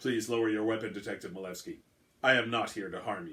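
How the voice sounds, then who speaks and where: Using a put-on character voice, a man talks at a very fast pace with a medium pitch. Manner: calm, reassuring.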